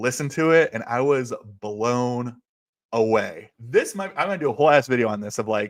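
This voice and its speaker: On a very clean recording with a silent background, a man speaks at a medium pitch. His pace is moderate, with ordinary pitch variation. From US Midwest (central Ohio). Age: 40s. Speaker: music livestreamer and record collector. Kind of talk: casual solo livestream chat.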